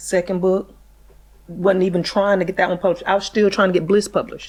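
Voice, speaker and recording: A woman with a Southern US accent, medium in pitch, fairly quick, and monotone with flat intonation. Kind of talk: casual interview chat.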